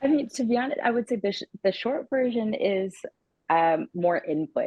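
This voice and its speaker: This is a normal speaking voice with lively intonation. It moves at a moderate pace. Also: woman, fairly high pitch for a woman. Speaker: audiobook narrator and actor. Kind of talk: interview answer.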